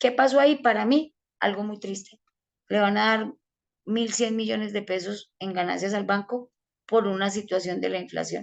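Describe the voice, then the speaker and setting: In a plain, everyday voice, a woman speaks at a moderate pace. Her pitch is medium, with ordinary pitch variation. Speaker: financial advisor giving a talk. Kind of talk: online presentation/webinar.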